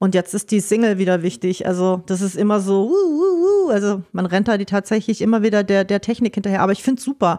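A woman speaks very fast at a medium pitch, her tone dark and mellow and her loudness very even, on a very clean recording with a silent background. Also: ordinary pitch variation. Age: 40s. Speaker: music promoter and PR manager. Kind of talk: casual interview.

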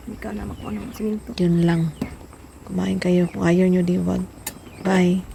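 Amid noticeable background noise, the speaker keeps a moderate pace broken by long, frequent pauses. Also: woman. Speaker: vlogger. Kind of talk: cooking vlog. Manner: playful.

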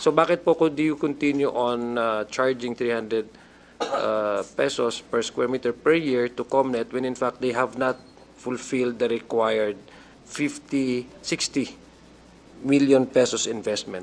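A man speaks at a medium pitch. His delivery is very slow, with fairly even intonation. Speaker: congressional committee member. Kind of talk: legislative hearing questioning. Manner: formal.

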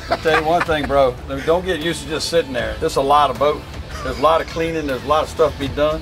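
A man talking very fast, with clear music in the background. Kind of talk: casual banter. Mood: teasing, jokey. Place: boat.

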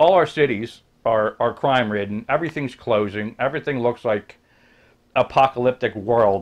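At a moderate pace, a man talks with an American accent and ordinary pitch variation. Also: quiet background. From New Jersey, US. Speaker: YouTuber; vlogger. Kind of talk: casual rant vlog. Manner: animated. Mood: sarcastic, complaining. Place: home room. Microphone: webcam.

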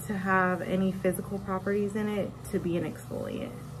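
A woman at a moderate pace, faint music behind her. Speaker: esthetician. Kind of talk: casual consultation. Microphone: phone near.

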